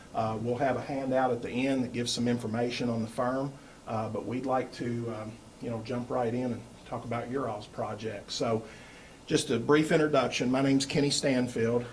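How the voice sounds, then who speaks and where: Speaking in a Kentucky accent at a moderate pace, the voice stays monotone and flat, with audible room echo. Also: man, medium pitch for a man. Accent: Kentucky Southern. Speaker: architect presenting to school board. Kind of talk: presentation pitch. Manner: loud; hesitant fillers.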